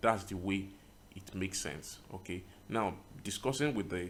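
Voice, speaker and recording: Audible room echo carries a man's very deep, low voice as he speaks at a moderate pace with fairly even intonation. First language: not English. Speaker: tutorial creator, web designer. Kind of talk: screen-recorded tutorial. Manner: casual, with many fillers.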